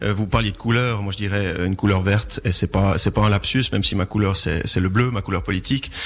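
Here is a man with a plain, everyday voice. His pitch is fairly low, his intonation fairly even and his pace moderate. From Chablais, Vaud, Switzerland. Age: 30s. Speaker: local politician. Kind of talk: radio debate.

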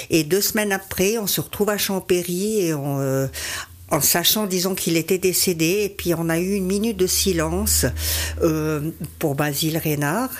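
A woman speaks with a fairly low pitch. Background noise is noticeable. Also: ordinary pitch variation, moderate pace. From Switzerland, Valais. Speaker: amateur runner. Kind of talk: radio interview. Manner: hesitant, many fillers.

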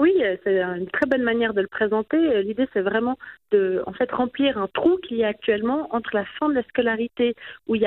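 A woman speaks at a moderate pace in an unremarkable speaking voice. Her pitch is fairly high and her intonation lively. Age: 30s. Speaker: politician. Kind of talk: radio interview.

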